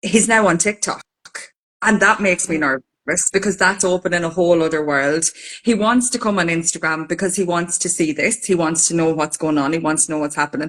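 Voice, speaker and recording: This woman has an Irish accent and a fairly low pitch, talking at a fairly quick pace with ordinary pitch variation. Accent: Irish, Carlow. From Ireland, County Carlow. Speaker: podcast co-host. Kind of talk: casual chat.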